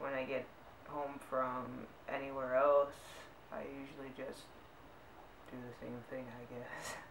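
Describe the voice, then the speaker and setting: An American accent, long and frequent pauses, and noticeable background noise. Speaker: vlogger. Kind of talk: casual vlog tag video. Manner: unenthusiastic.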